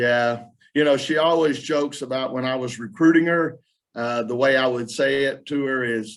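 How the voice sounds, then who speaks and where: Speaking with a Southern US accent, a man talks at a moderate pace and medium pitch with fairly even intonation. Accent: Southern twang. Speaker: college basketball coach. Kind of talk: press conference. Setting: video call. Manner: casual, halting with fillers.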